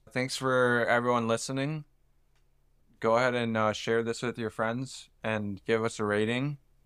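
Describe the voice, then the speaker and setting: On a very clean recording with a silent background, a man speaks in an American accent with monotone, flat intonation. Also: medium pitch for a man, moderate pace. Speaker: podcast co-host. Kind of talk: casual chat.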